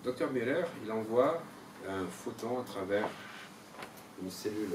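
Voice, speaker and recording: Speaking at a very slow pace, a man with a fairly low pitch is heard with audible room echo and noticeable background noise. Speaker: seminar leader. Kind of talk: seminar lecture. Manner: animated.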